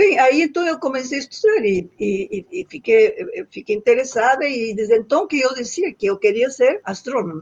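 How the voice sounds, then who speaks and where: A woman with a high pitch and very wide pitch swings, at a moderate pace. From northern Argentina (Santiago del Estero). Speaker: astronomer. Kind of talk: interview. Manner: halting, frequent repetitions.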